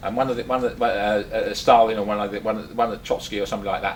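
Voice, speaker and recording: A man with an English accent talks at a very fast pace over noticeable background noise. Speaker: speaker at activist meeting, former policeman. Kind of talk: talk to a small audience. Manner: halting, many fillers and repeats.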